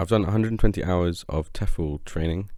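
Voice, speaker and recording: A man with a British accent talks in a dark, mellow tone with fairly even intonation. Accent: RP. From England, Shropshire. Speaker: English teacher. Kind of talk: self-introduction. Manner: hesitant, many fillers.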